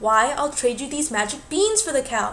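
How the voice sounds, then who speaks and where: Over clear background noise, a woman uses a put-on character voice at a high pitch with very wide pitch swings. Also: moderate pace. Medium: read story.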